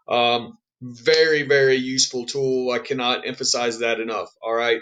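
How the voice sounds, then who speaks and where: A man with a medium pitch has a plain, everyday voice. His intonation is fairly even. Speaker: high school history teacher. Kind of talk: recorded lesson for students. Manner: casual, many fillers.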